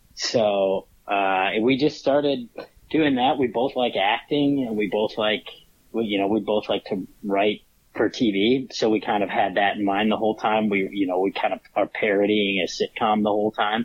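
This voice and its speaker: The voice moves at a moderate pace with fairly even intonation and very even loudness. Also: man, fairly low pitch for a man. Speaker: stand-up comedian. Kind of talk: casual interview. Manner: laid back.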